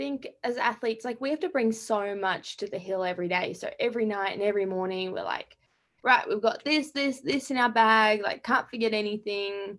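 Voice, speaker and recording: A woman speaks with an Australian accent at a fairly high pitch and a fairly quick pace. Her pitch varies in an ordinary way. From Australia, Melbourne. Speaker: college skier. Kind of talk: interview. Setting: video call.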